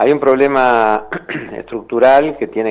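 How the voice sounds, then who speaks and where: With fairly even intonation, a man keeps a moderate pace while noticeable background noise plays behind him. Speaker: human rights official. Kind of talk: interview.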